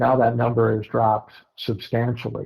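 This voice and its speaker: A man with an American accent, somewhat breathy, at a moderate pace. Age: 70s. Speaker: bird hunter. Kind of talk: casual chat. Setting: podcast.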